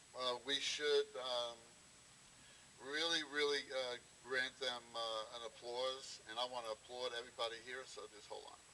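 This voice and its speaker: At a moderate pace, a man with a medium pitch uses fairly even intonation while his loudness swings widely. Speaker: Vietnam war veteran. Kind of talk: speech. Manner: halting.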